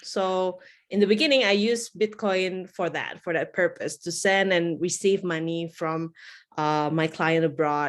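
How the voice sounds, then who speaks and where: The speech moves at a fairly slow pace with ordinary pitch variation, on a very clean recording with a silent background. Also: woman, fairly low pitch for a woman. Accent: Indonesian. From Indonesia, Java. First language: Indonesian. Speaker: bitcoin educator. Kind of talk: interview.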